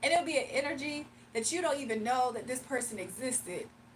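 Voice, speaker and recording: Through noticeable background noise, a woman with a fairly high pitch talks fairly quickly in an animated tone with lively intonation. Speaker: livestreamer and spiritual reader. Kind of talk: casual livestream chat. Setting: live stream.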